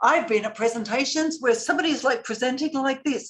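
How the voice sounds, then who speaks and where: An animated woman with an Australian accent and lively intonation. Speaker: public speaking coach. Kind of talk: lecture. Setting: video call.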